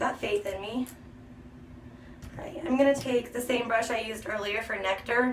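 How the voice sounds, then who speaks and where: Speech moves at a moderate pace with ordinary pitch variation and long, frequent pauses. Loudness swings widely. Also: woman. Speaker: beauty vlogger. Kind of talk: makeup tutorial. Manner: chatty.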